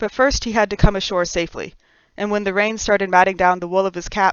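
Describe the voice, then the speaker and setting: With an unremarkable speaking voice, a woman talks fairly quickly at medium pitch with fairly even intonation. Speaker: author. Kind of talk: audiobook reading.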